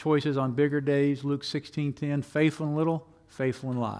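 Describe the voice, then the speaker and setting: At a moderate pace, a man with an ordinary speaking voice talks at a fairly high pitch with fairly even intonation. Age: 60s. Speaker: pastor. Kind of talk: sermon. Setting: church.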